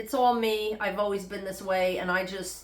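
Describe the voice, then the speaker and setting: Speaking at a moderate pace with a New York accent, a woman uses a medium pitch amid audible room echo. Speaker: health vlogger. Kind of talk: casual vlog monologue. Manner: unscripted, conversational.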